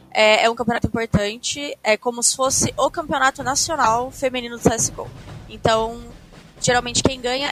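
Noticeable background noise is present throughout. The talking proceeds at a moderate pace. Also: woman. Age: 20s. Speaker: professional esports player. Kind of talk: casual chat.

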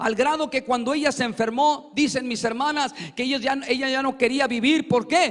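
A man speaks at a moderate pace with an extremely high pitch and fairly even intonation. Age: 40s. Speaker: preacher giving testimony. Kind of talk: testimony; sermon. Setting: church.

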